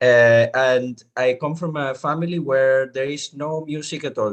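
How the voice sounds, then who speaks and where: With a Spanish accent, a man talks at a medium pitch that shifts in an ordinary way. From Venezuela. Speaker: musician. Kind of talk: panel discussion.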